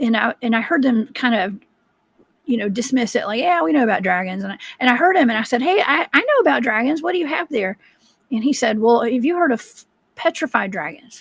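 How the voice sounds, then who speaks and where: The speaker has a Southern US accent, very wide pitch swings and a fairly quick pace. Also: woman, high pitch for a woman. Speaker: cryptid researcher. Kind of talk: interview storytelling.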